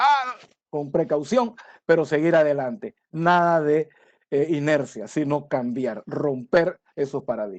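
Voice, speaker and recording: Dry and close with no echo, the recording catches a man with a plain, everyday voice. His pitch is fairly high and his pace fairly slow. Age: 60s. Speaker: conference speaker on supply chain. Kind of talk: lecture. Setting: webinar from home.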